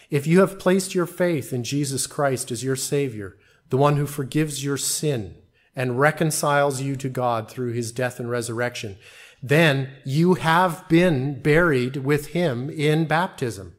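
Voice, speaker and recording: An ordinary speaking voice from a man, fairly high in pitch, fairly slow, with ordinary pitch variation on a very clean recording with a silent background. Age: 40s. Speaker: pastor. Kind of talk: sermon. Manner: formal.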